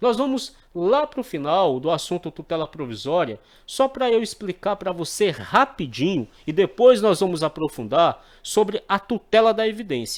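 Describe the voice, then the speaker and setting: In a very clean recording with a silent background, a man speaks at a high pitch with very wide pitch swings. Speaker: exam prep teacher. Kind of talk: tutorial. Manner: slow.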